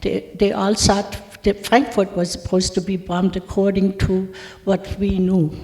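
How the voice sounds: At a fairly slow pace, a woman with a medium pitch and a dark, mellow tone speaks with little pitch movement.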